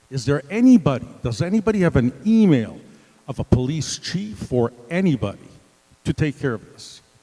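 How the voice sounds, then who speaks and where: A man's fairly high voice, dry and close with no echo, with very wide pitch swings at a fairly slow pace. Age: 70s. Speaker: resident speaking at community meeting. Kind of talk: public comment at town meeting.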